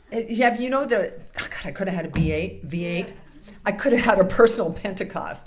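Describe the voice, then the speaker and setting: Audible room echo surrounds a woman's voice. She speaks at a fairly quick pace with lively intonation. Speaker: minister. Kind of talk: sermon. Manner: fast.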